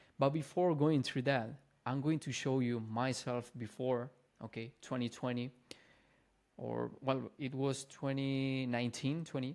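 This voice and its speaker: A man with a non-native accent and fairly even intonation. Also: medium pitch for a man, fairly slow pace. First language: not English. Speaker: fitness and mindset coach. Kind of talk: casual vlog talk to camera. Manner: casual, informal.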